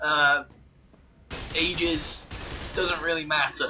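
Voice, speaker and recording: A man's fairly high voice with fairly even intonation amid noticeable background noise. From England. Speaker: gaming commentator. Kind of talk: casual chat. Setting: live video game commentary.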